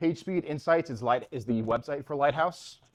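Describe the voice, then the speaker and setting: With a Long Island accent, a man speaks at a moderate pace. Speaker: front-end engineer, meetup speaker. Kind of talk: conference talk. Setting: stage with audience at meetup. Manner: casual, halting with fillers.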